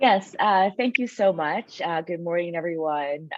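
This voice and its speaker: This woman has a very deep, low pitch and an American accent. She talks at a moderate pace with lively intonation. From United States. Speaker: sociology professor. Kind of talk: panel talk.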